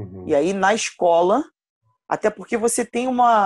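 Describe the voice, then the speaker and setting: A woman with an ordinary speaking voice and a fairly high pitch speaks at a fairly slow pace in a dry, close sound with no echo. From Rio de Janeiro, Campo Grande (West Zone). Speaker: basketball coach. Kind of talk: casual interview.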